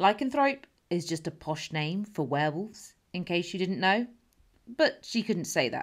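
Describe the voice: The speaker does plain reading aloud, and the intonation moves in a lively way.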